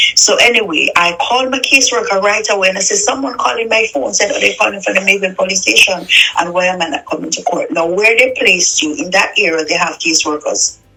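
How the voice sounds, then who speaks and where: A woman talks at a very fast pace with noticeable background noise. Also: hardly any pauses. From Jamaica, Clarendon. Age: 40s. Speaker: interviewee telling her life story. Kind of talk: testimony. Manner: halting.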